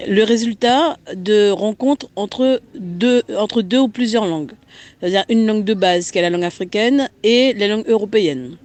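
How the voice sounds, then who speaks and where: A woman with a French Guianese accent speaks at a moderate pace. Her fairly high voice has lively intonation. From French Guiana. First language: Guianese Creole (speaking French). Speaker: guest speaking on Creole language and culture. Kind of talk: interview answers. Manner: halting, many hesitations.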